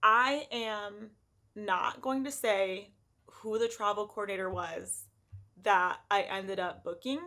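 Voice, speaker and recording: Shaky and bright with a sharp tone, a woman's medium-pitched voice moves at a very slow pace with ordinary pitch variation. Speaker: lifestyle vlogger. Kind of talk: casual vlog monologue. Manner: shaky voice.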